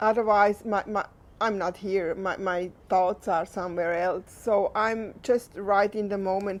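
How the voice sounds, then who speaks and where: In a Swiss German accent, a woman speaks with flat, monotone intonation. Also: medium pitch for a woman. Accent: non-native, Swiss German. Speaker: equine assisted therapist and registered nurse. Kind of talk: unscripted talk to camera. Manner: halting, unscripted.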